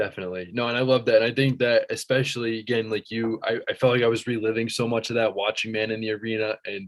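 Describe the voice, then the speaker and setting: Talking at a very fast pace, a man barely pauses at all. His intonation is monotone and flat, in an American accent. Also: medium pitch for a man. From central Massachusetts. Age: 20s. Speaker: student and sports fan. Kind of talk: casual chat.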